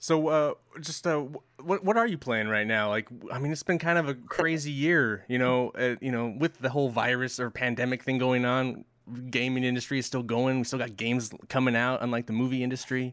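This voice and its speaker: A man's medium-pitched voice, a normal speaking voice, with ordinary pitch variation and a fairly quick pace. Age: 40s. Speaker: podcast host. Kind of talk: casual chat.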